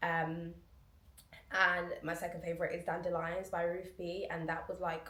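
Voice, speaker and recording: A woman speaks at a moderate pace with a fairly low pitch and monotone, flat intonation. Noticeable background noise and audible room echo surround her voice. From UK, moved from Guinea at about four. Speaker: YouTuber. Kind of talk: casual Q&A vlog. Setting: at home, back door open. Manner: chatty, many fillers.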